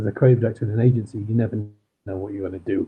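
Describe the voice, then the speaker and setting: This speaker is a man with a Manchester accent. His intonation is fairly even. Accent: Manchester accent, still audible. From northern England, Manchester. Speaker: crime author. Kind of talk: interview. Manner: hesitant, with fillers.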